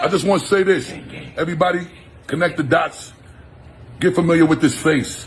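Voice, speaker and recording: A man with a Jamaican accent speaks at a fairly quick pace with long, frequent pauses. His pitch is high and his intonation fairly even. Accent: Jamaican patois. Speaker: rapper. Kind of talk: album promotion shout-out.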